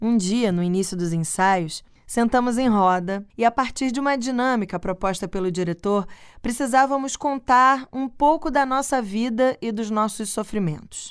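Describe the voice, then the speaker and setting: A woman with a plain, everyday voice speaks at a moderate pace in a fairly high pitch with ordinary pitch variation, recorded very cleanly against a silent background. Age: 30s. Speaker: podcast host. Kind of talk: personal reflective monologue.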